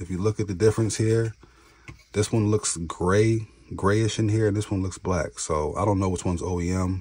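A man's very deep, low voice, somewhat breathy, at a moderate pace with fairly even intonation. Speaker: tech YouTuber doing laptop repair. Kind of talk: tutorial. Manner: casual, conversational.

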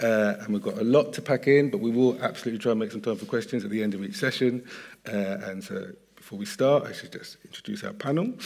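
With a British accent, a man talks at a very fast pace, his intonation lively and his loudness swinging widely. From UK. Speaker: panel moderator. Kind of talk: panel discussion. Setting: stage with audience. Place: stage. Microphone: headset.

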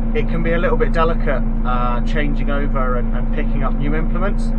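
Loud background noise fills the clip. A man is speaking through it. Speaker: farmer vlogger. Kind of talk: casual vlog chat. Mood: cheerful, self-deprecating. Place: farm machine. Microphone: phone near.

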